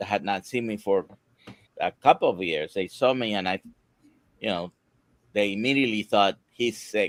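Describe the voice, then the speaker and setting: This man has a fairly low pitch and talks at a moderate pace with ordinary pitch variation. The sound is dry and close, without echo. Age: 60s. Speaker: doctor. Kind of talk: live Q&A discussion. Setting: live stream.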